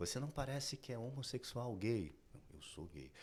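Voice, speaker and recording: The voice carries vocal fry. It moves at a moderate pace. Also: man. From Brazil, Rio de Janeiro outskirts. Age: 40s. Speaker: fashion designer. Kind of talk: podcast interview.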